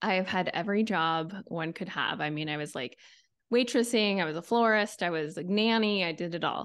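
A woman talks at a fairly quick pace in a normal speaking voice, at medium pitch with ordinary pitch variation. The background is quiet. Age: 40s. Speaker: TV writer and podcaster. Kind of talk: casual chat.

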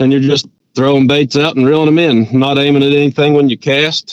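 A man talks at a fairly quick pace with an Appalachian accent. His medium pitch carries monotone, flat intonation. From West Virginia mountains. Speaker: angler. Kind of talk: interview.

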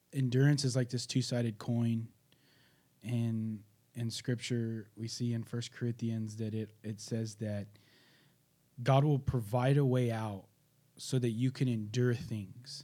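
A man's dark, mellow voice at medium pitch, slow and flat in a monotone, with long, frequent pauses. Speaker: youth pastor.

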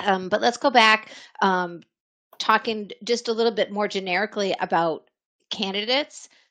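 Over a quiet background, a woman with a fairly high pitch and a bright, sharp tone speaks with ordinary pitch variation. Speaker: HR executive. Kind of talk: panel discussion. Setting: video call.

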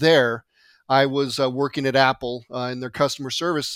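A man speaks at a moderate pace with a fairly high pitch and fairly even intonation. The recording is very clean, with a silent background. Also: dry, close sound with no echo. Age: 50s. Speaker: podcast host, database developer. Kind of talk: technical podcast chat.

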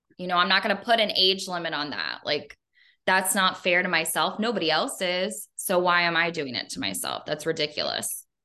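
A woman talks at a fairly quick pace with a fairly low pitch, vocal fry and a bright, sharp tone. Her pitch varies in an ordinary way against a quiet background. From Northern Kentucky. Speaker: Air Force veteran, public relations director. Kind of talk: interview, casual chat.

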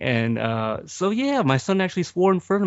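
The man's intonation is lively throughout. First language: not English. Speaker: movie podcaster. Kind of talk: casual chat. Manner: halting.

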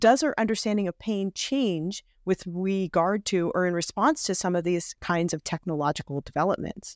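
On a very clean recording with a silent background and a dry, close sound with no echo, a woman speaks with a plain, everyday voice at medium pitch. Her moderate pace has hardly any pauses, and her intonation is lively. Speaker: podcast host. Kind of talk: interview.

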